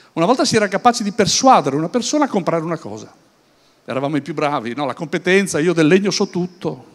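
The speech moves at a very fast pace. Its intonation is lively. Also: man, high pitch for a man. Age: 60s. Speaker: business speaker; speaker. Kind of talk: conference talk. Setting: stage with audience at an event. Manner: hesitant, with many fillers and repetitions. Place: hall. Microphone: handheld.

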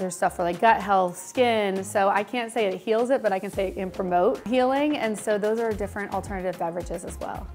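Over faint music in the background, a woman talks at a very fast pace with fairly even intonation. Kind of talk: interview answer. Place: shop. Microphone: lapel.

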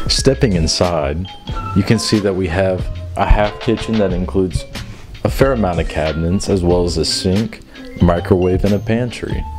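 Clear music plays in the background as a man speaks. His pitch is very deep and low, and his pace is moderate. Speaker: home tour host. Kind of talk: casual tour commentary. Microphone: handheld.

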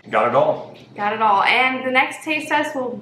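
A woman speaks at a moderate pace with ordinary pitch variation, with audible room echo and light background noise. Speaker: food video host. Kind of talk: casual vlog chat. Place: home room. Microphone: camera far.

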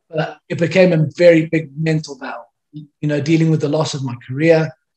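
The intonation is monotone and flat as a man speaks at a moderate pace. The background is quiet. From South Africa. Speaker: former professional rugby player. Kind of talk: interview, personal life story. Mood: reflective, candid about struggles. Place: home room. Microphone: video call.

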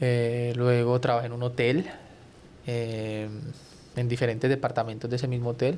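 A man speaks with monotone, flat intonation over light background noise. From Colombia. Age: 30s. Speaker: TV journalist. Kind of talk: casual chat. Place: studio. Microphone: studio mic.

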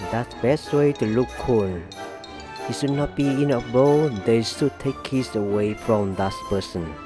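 A man talks at a very slow pace with very wide pitch swings. Music plays in the background. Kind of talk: humorous voice-over commentary on fail compilation.

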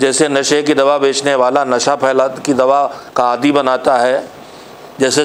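The delivery comes at a fairly slow pace with monotone, flat intonation. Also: man. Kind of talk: sermon. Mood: calm, earnest. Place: home room.

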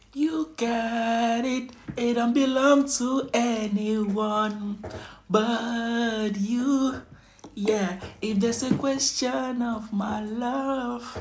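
A man speaks very slowly at an extremely high pitch, with fairly even intonation. Noticeable background noise comes through. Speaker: food vlogger. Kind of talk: casual mukbang vlog chat. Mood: cheerful, smiling. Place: home room. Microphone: phone near.

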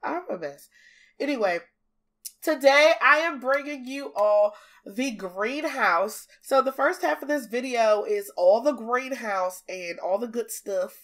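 Speaking in an American accent, a woman uses a high pitch with very wide pitch swings and an animated tone at a fairly slow pace. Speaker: gaming YouTuber. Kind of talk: casual chat.

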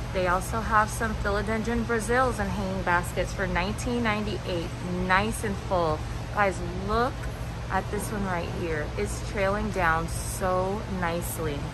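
Over background music, a woman talks at a fairly slow pace. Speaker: plant vlogger. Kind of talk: casual vlog chat. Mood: enthusiastic. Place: shop. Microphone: phone near.

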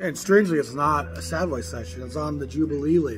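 Very fast male speech with faint music in the background. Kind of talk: casual vlog chat about records. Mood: enthusiastic, expressive. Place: cafe.

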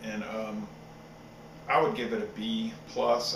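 Behind the voice there is noticeable background noise. The speaker is a man. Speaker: beer reviewer. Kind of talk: casual review chat. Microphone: webcam.

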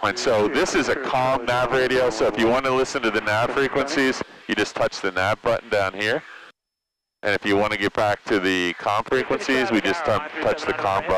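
A man at a moderate pace with ordinary pitch variation, a dry sound with no echo and noticeable background noise. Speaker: flight instructor. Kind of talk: instruction. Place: plane. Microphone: headset.

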